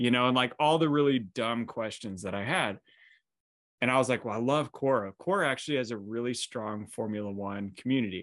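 Enthusiastic and fairly quick, a man speaks at medium pitch with ordinary pitch variation over a quiet background. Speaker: podcast host. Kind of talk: casual interview.

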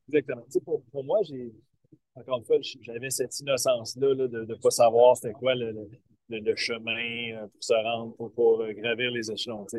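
A man with a normal speaking voice talks fairly slowly at a medium pitch, his intonation fairly even and his loudness swinging widely. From Quebec, Eastern Townships (Waterville). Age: 40s. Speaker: baseball coach. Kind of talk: interview. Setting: video call from a bus.

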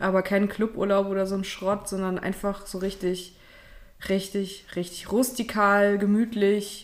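At a fairly slow pace, a woman speaks with a medium pitch. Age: 30s. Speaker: podcast co-host. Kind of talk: casual chat.

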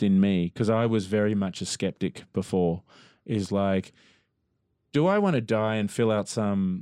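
Against a quiet background, a man with a dark, mellow tone and fairly low pitch talks at a fairly slow pace, with very even loudness and ordinary pitch variation. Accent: Australian. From Australia (Melbourne). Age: 40s. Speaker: musician. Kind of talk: casual interview chat.

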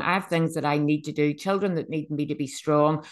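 In a Northern Irish accent, a woman with a very deep, low pitch speaks at a moderate pace. Her intonation is fairly even against a quiet background. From Northern Ireland, Bangor. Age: 50s. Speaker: podcast host. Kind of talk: personal testimony monologue. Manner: halting, self-correcting.

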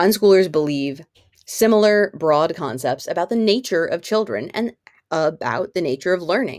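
A woman with an ordinary speaking voice and a fairly low pitch talks at a moderate pace with lively intonation. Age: 40s. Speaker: unschooling parent and vlogger. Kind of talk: casual monologue. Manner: casual with frequent fillers.

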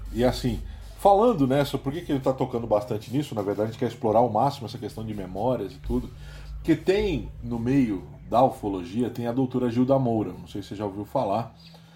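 Very fast, this man speaks at medium pitch with ordinary pitch variation and big swings in loudness. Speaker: podcast host. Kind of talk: casual chat. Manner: animated.

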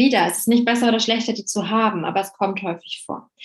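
At a moderate pace, a woman with a fairly high pitch sounds somewhat breathy and keeps her intonation fairly even. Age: 30s. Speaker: numerology coach. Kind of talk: interview.

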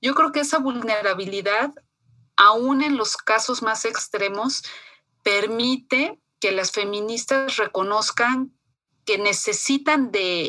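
This woman's voice sits fairly high in pitch, and she talks at a very slow pace. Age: 40s. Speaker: feminist foundation staff. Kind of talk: interview.

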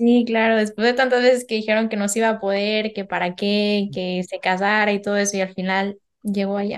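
Speaking with a Mexican accent, a woman of medium pitch moves at a fairly quick pace with hardly any pauses. Her intonation is monotone and flat, over a quiet background. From Mexico. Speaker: geneticist and painter. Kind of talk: casual interview chat.

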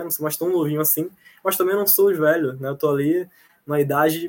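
Using an ordinary speaking voice, a man talks at fairly high pitch with fairly even intonation. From Bahia, Brazil (Jacobina). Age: 20s. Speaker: student. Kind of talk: casual interview. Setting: video call from home kitchen.

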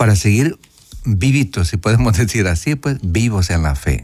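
This man's voice is somewhat breathy and fairly low in pitch. He talks at a fairly slow pace, with very wide pitch swings. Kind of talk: radio catechesis talk with call-in. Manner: soft-spoken.

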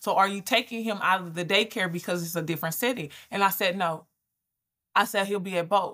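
A woman with an American accent speaks fairly quickly at a medium pitch, her tone bright and sharp and her intonation fairly even. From Georgia, US South (Albany). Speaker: business coach and brand strategist. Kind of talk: interview conversation. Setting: remote call.

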